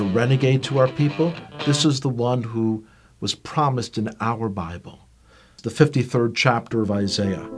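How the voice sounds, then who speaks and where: Music plays behind a man speaking at a medium pitch with an American accent. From Brooklyn, New York. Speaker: Bible teacher. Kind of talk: personal testimony.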